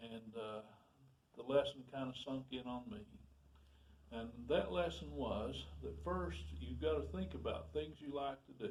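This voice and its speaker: This man's fairly low voice carries vocal fry and very wide pitch swings. His pace is fairly slow. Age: 70s. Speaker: retired carpenter sharing experience. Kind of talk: personal storytelling monologue. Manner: halting, with fillers and restarts.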